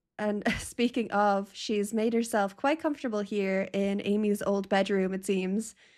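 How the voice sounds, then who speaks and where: Speaking very slowly, a woman keeps her medium-pitched voice fairly even in intonation. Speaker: gaming YouTuber. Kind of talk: casual gameplay commentary.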